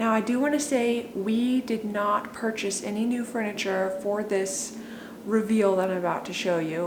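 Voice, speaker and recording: A woman talks in a fairly high pitch at a moderate pace with fairly even intonation, with audible room echo and noticeable background noise. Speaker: home declutter vlogger. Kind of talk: casual vlog talk to camera.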